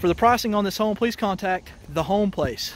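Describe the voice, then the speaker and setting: Speaking very fast, a man talks with a Southern US accent. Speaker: mobile home tour video host. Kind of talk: home tour walkthrough. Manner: enthusiastic.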